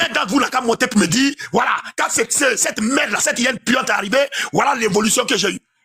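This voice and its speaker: A man speaks very fast in a raised, projected voice at an extremely high pitch. His tone is animated and his intonation lively. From Ivory Coast. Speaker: caller on live panel. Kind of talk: heated political rant. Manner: loud.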